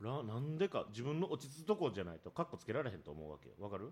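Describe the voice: The voice has a slightly husky edge and a slightly mellow tone, racing along at a very fast pace with big pitch swings. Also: man, medium pitch for a man.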